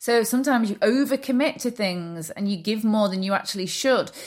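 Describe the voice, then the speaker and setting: A woman's fairly high voice with lively intonation. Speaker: podcast host and coach. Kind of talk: solo self-help monologue. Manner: fast; animated.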